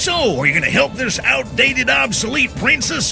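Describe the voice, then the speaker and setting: Over clear music in the background, a man speaks at a moderate pace in a put-on character voice. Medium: machinima. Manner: blunt, brusque.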